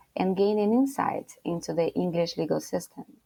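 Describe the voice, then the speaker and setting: A woman with a Brazilian Portuguese accent, medium pitch and lively intonation at a moderate pace. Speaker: lawyer. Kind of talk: interview.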